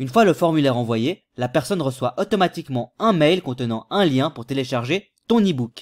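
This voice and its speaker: A man with a plain, everyday voice, fairly high pitch and lively intonation at a moderate pace, in a dry, close sound with no echo and a very clean recording with a silent background. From Switzerland. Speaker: YouTube tutorial creator. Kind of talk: tutorial. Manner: casual.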